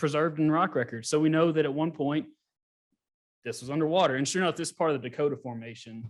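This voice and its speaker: In a very clean recording with a silent background, a man talks at a very fast pace with a Southern US accent. His pitch is fairly high, with ordinary variation. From US South, Gulf Coast of Mississippi. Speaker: geologist. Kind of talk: lecture. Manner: casual.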